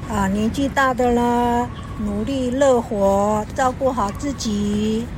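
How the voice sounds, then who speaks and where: Amid noticeable background noise and audible room echo, a woman speaks very slowly at a high pitch with fairly even intonation. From Taiwan, Taoyuan Atayal village. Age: 60s. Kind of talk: interview. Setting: outdoors in a park.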